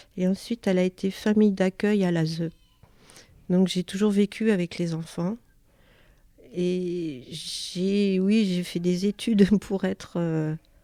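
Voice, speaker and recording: A woman's dark, mellow, medium-pitched voice, very slow with long, frequent pauses and fairly even intonation, in a dry, close sound with no echo. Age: 50s. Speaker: childminder. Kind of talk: self-introduction interview. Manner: hesitant, many fillers.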